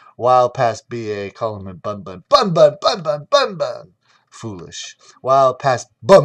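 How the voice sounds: Behind a natural reading voice, the background is quiet.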